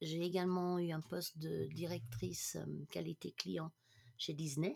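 A woman with a very deep, low pitch at a very slow pace. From international upbringing, mainly Germany. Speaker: management coach. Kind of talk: casual interview chat.

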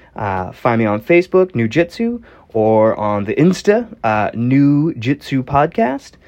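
Speaking with an American accent, a man moves at a fairly slow pace with very wide pitch swings. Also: medium pitch for a man. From Northeastern United States. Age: 40s. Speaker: podcast host. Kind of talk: solo podcast monologue. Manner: casual, frequent filler words.

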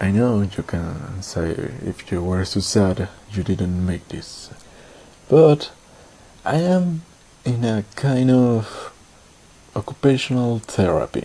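A man with a non-native accent speaks at a very slow pace with long, frequent pauses and very wide pitch swings. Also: medium pitch for a man. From Latin America. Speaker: podcaster and scriptwriter. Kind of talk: personal monologue. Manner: halting.

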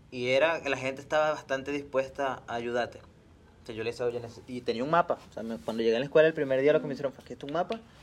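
His delivery comes very fast. The man's voice sits at a medium pitch, and his intonation stays fairly even. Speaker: podcast host. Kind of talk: casual chat.

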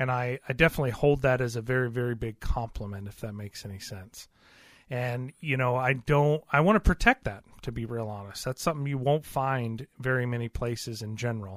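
In a normal speaking voice at a fairly quick pace, someone speaks with ordinary pitch variation and big swings in loudness, in a dry, close sound with no echo on a very clean recording with a silent background. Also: man, medium pitch for a man. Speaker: radio host. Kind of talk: casual radio talk show chat. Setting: radio studio.

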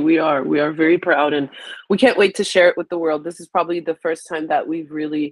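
Her pitch is very deep and low, with ordinary pitch variation. The woman's sound is dry and close, with no echo. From Haiti. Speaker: magazine founder. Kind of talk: casual interview.

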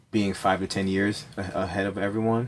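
A man speaks in a flat monotone at a fairly low pitch. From Jamaica, moved to US at six. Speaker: hotel owner and builder, war veteran. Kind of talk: casual interview. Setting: treehouse outdoors, chilly.

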